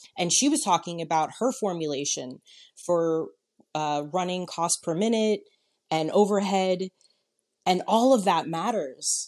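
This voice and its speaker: With an American accent and lively intonation, a woman at medium pitch speaks at a fairly slow pace, leaving long, frequent pauses over a quiet background. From New York. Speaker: salon business consultant. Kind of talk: casual chat.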